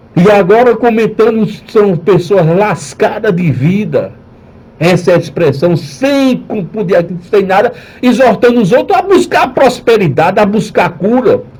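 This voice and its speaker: Over noticeable background noise, a man with a high pitch talks at a fairly slow pace with lively intonation. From Northeast Brazil. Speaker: pastor. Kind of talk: radio sermon.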